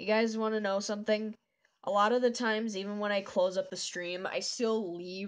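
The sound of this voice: In a quiet background, the speaker uses an unforced reading voice with fairly even intonation.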